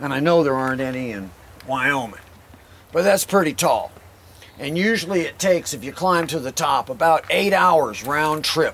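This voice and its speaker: A moderate pace and lively intonation. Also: man. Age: 60s. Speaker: rock climbing guide. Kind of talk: outdoor guided talk to a group. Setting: outdoors. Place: open country. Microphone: camera far.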